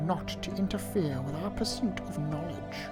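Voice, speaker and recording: Over loud background music, a whiny, put-on character voice sits at a middle pitch. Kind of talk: formal diplomatic. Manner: pompous and officious.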